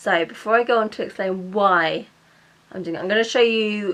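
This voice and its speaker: At a fairly slow pace, the speaker talks with a British accent and fairly even intonation. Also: woman. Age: 20s. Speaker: vlogger and mature student. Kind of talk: casual vlog chat. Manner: stumbling over words.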